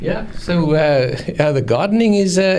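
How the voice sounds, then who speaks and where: With a South African accent, a man talks with lively intonation over noticeable background noise. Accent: Afrikaans South African. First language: Afrikaans. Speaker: anesthesiologist. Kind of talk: interview. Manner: halting.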